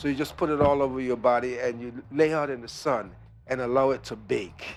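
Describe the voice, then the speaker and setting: An unremarkable speaking voice from a man, medium pitch, ordinary pitch variation, fairly quick pace and big swings in loudness. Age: 60s. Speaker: raw food wellness retreat owner. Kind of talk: radio interview.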